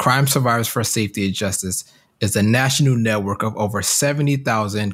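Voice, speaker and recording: On a very clean recording with a silent background, a man with an American accent and an unremarkable speaking voice talks at a moderate pace in a fairly low pitch. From US Midwest (Detroit, Michigan). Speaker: advocacy director and podcast host. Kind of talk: scripted promo with personal testimony.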